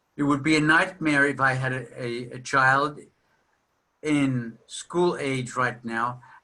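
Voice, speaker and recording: Speaking at a fairly slow pace with long, frequent pauses, a man uses a bright, sharp tone at medium pitch with fairly even intonation, and audible room echo surrounds him. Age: 60s. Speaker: psychotherapist lecturing at a seminar. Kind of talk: lecture.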